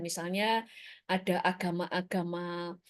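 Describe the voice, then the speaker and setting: A woman speaks at a medium pitch against a quiet background. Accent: Surabaya. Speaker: preacher. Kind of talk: sermon. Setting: church service streamed on Zoom and YouTube. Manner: casual, conversational.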